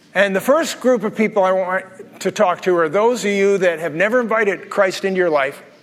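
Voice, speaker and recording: A man speaks at a fairly quick pace with hardly any pauses, his pitch high for a man and ordinary in its variation. There is noticeable background noise. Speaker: pastor. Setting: church with live congregation. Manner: animated, humorous, conversational preacher; fervent, commanding, urgent, intense and impassioned in prayer.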